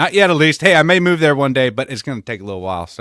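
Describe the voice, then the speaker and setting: A man mumbles in a Southern US accent with very wide pitch swings. The sound is dry and close, with no echo. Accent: Southern-sounding. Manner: mumbling.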